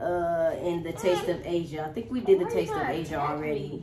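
Noticeable background noise runs beneath a woman whose pitch varies in an ordinary way. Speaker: family vlogger. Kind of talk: casual vlog chat. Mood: amused, laughing. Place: home room. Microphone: camera far.

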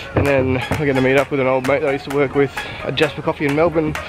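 The sound is dry, with no echo. Music plays clearly in the background. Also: man. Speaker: travel vlogger. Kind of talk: casual vlog chat. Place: waterside. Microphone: phone near.

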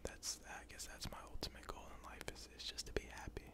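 Someone whispers with an American accent. The pace is fairly quick. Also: man. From United States. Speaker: ASMR YouTuber. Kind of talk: casual Q&A talk to camera. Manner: casual, conversational, friendly. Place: home room. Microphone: studio mic.

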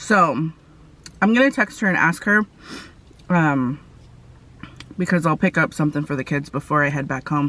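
In a dry sound with no echo, a woman speaks with a very deep, low pitch. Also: moderate pace. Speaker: food vlogger. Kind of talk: casual vlog chat. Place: car. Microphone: phone near.

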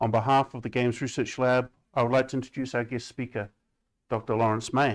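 A fairly quick New Zealand accent, flat and monotone in intonation, against a quiet background. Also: man. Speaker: seminar moderator, games researcher. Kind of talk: event introduction and moderation. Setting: seminar room with audience. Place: classroom.

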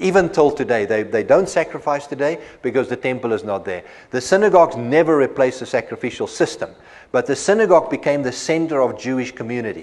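Speech races at a very fast pace with lively intonation. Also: man. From South Africa. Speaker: bible college lecturer. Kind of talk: lecture. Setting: classroom. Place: studio. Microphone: lapel.

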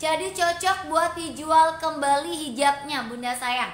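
Amid audible room echo, a woman uses a raised, projected voice with a bright, sharp tone, ordinary pitch variation and a very slow pace. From Cirebon, West Java. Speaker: online seller. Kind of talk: live-stream sales pitch. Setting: live stream to online audience. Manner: warm, chatty, effusive. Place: shop. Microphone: phone near.

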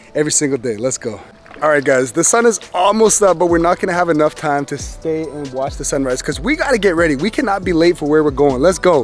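Faint music plays in the background of a dry recording with no echo as the speaker goes at a very fast pace. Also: man. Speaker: family vlogger. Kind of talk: casual vlog chat. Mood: warm, upbeat. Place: waterside. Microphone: phone near.

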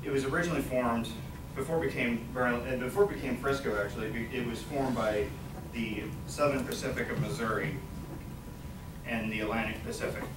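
A man talks at a very fast pace broken by long, frequent pauses, with noticeable background noise behind him. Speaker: college student. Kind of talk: class presentation speech. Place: classroom. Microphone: camera far.

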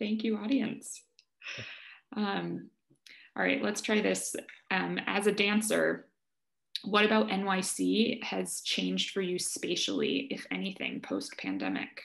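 Long, frequent pauses break up a woman's speech. Her pace is very slow against a quiet background. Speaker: arts organization director; moderator reading audience questions. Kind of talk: audience Q&A moderation. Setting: video call. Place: home room. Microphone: video call.

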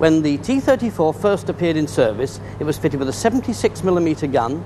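A man with a British accent, fairly high-pitched, at a moderate pace with very wide pitch swings, and noticeable background noise. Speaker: military historian. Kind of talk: expert interview commentary. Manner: measured. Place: hall.

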